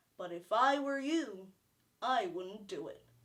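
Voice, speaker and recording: A woman's put-on character voice with very wide pitch swings, at a fairly slow pace. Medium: stage play. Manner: preaching, declamatory.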